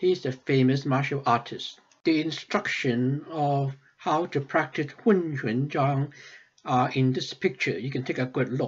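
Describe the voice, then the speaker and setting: A man's somewhat breathy voice at a fairly slow pace. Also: fairly high pitch for a man, ordinary pitch variation, quiet background. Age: 70s. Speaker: Taoist practice teacher. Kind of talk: lecture. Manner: formal.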